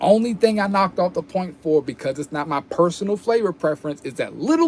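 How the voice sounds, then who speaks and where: A man talks at a fairly quick pace. His pitch is high for a man. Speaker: cannabis reviewer. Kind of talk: casual product review vlog. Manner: casual, halting with repetitions.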